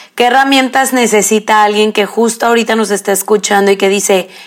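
Noticeable background noise sits behind a woman's voice. Her pitch is medium and her intonation lively. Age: 30s. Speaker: podcast host. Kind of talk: casual chat.

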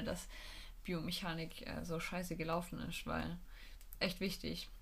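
With audible room echo, a woman speaks at a moderate pace in a fairly low pitch, with vocal fry. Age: 20s. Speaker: physiotherapy trainee and student, podcast co-host. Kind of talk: casual chat.

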